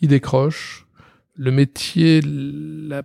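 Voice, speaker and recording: This man's fairly high voice has a dark, mellow tone and ordinary pitch variation, captured in a dry, close sound with no echo. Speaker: company president and creative director. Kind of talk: interview. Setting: office.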